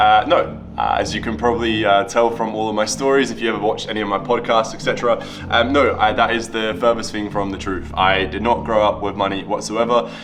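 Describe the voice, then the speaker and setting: A man talks at a fairly quick pace with ordinary pitch variation and hardly any pauses. Noticeable background noise and audible room echo are present. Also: fairly low pitch for a man. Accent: British. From Latvia, moved to the UK at ten. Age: 20s. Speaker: entrepreneur and YouTuber. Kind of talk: casual Q&A vlog.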